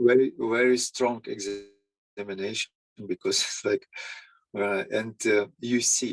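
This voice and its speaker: A man speaks at a very slow pace with a non-native accent. The sound is dry and close, with no echo. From Ukraine. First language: Ukrainian or Russian. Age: 50s. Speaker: psychologist. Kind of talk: interview. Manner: halting. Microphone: audio issues.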